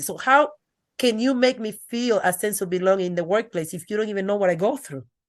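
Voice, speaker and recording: A woman speaks with a strong Dominican accent and lively intonation at a medium pitch. The background is quiet. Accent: thick Dominican Spanish. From Dominican Republic. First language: Spanish. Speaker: educator and author. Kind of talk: interview. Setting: podcast.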